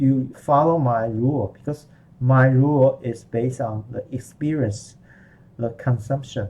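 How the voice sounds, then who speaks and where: A man with a Chinese accent talks at a fairly slow pace and a medium pitch. His tone is dark and mellow, and somewhat breathy. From Chinese-speaking background. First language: Mandarin Chinese. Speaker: language teacher. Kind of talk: online lesson. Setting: live online class. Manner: halting.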